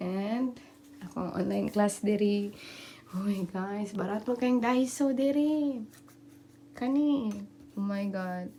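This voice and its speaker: At a very slow pace with long, frequent pauses, a woman speaks in a medium pitch with ordinary pitch variation over noticeable background noise. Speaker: vlogger. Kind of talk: casual vlog room tour.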